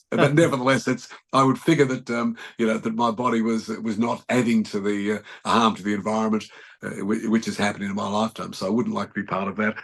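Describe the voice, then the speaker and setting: Talking at a very fast pace, a man has an Australian accent. His intonation stays fairly even. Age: 70s. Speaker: journalist. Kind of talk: interview answer.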